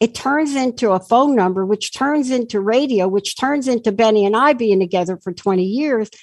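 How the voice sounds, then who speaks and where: Over a quiet background, a woman with an American accent talks at a moderate pace in a fairly high pitch, with ordinary pitch variation and hardly any pauses. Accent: sounds like New York, per a listener. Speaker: talk radio host. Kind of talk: talk radio interview. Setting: studio, radio show with video. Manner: animated.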